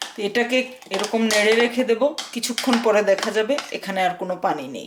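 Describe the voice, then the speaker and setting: Her pitch is fairly high, and this woman uses ordinary pitch variation. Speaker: cooking channel host. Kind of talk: cooking tutorial. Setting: home kitchen. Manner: frequent filler hesitations.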